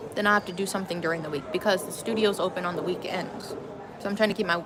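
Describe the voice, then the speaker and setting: There is noticeable background noise and audible room echo around a voice with an American accent. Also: woman. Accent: Wisconsin accent, per others. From Wisconsin, suburbs. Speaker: yoga teacher and vlogger. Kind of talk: casual vlog monologue. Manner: casual, chatty.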